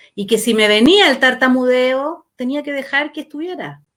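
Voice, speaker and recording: A woman speaks at a fairly slow pace. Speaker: life coach / therapist hosting talk. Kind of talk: casual chat.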